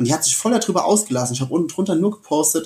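A man's somewhat breathy voice moves with lively intonation. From Germany, Westerwald (Rhineland-Palatinate). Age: 20s. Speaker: keynote speaker and coach. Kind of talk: casual interview. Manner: animated.

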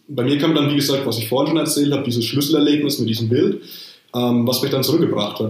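There is audible room echo around a man's voice. His pitch is fairly high, with ordinary variation. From Rhön, Lower Franconia. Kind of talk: casual chat. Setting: video call.

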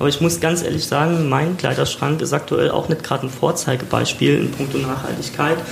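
Noticeable background noise and audible room echo both surround a man as he talks. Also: hardly any pauses. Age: 30s. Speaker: podcast host. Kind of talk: casual chat. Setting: recorded in a shop.

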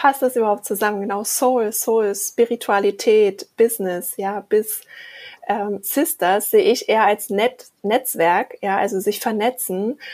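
Speaking in a plain, everyday voice, a woman talks at a fairly slow pace with a fairly high pitch and fairly even intonation. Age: 40s. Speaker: podcast co-host. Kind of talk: casual chat.

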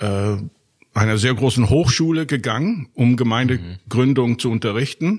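A man holds a medium pitch while talking at a fairly slow pace. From Germany and Austria. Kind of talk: interview. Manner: hesitant, many fillers.

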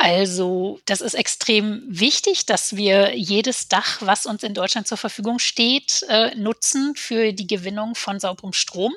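Speaking at a very slow pace, a woman keeps a medium pitch with ordinary variation. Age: 40s. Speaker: politician. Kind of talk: casual chat.

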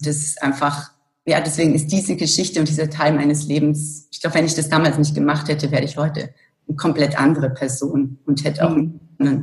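Somewhat breathy, a woman speaks in a very deep, low voice with flat, monotone intonation. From Germany, Allgäu (rural Bavarian Swabia). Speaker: corporate communications director. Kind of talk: interview.

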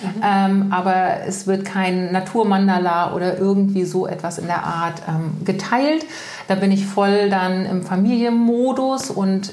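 Noticeable background noise and audible room echo surround the recording. A woman speaks at a very slow pace. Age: 40s. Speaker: energetic life coach. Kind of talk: casual interview chat. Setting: in person at her home.

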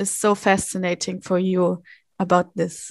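Woman with a German accent, dry and close with no echo, over a quiet background. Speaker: podcast co-host. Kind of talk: interview.

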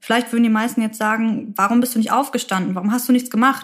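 A woman's somewhat breathy voice at a fairly quick pace. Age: 20s. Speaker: midwifery student and podcaster. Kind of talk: personal testimony.

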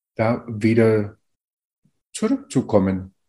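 This man has a dark, mellow tone set at a medium pitch. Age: 50s. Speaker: co-author of an anthology. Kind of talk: interview. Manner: halting, many fillers.

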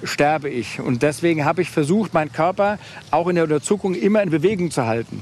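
A man speaks in a Hessian accent at a fairly high pitch. His pitch varies in an ordinary way. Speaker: business executive with diabetes. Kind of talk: casual chat. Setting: outdoors.

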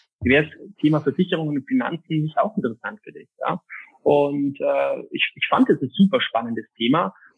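A man speaks at a moderate pace and fairly high pitch. His voice has very wide pitch swings and big swings in loudness. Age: 20s. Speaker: insurance and finance advisor. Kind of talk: interview.

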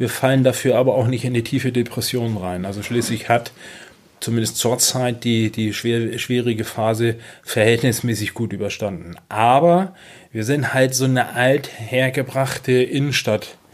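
A man talks in an ordinary speaking voice at medium pitch and a moderate pace, with fairly even intonation. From northern Germany, Schleswig-Holstein (Kropp near Schleswig). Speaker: city marketing manager. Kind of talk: interview. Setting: at the guest's table.

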